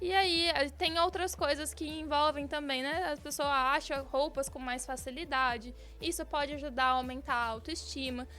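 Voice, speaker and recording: In a Mato Grosso accent, a woman speaks at a moderate pace with a raised, projected voice. Her tone is bright and sharp at a high pitch. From Brazil, Mato Grosso. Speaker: bariatric surgeon. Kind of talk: radio interview. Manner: animated.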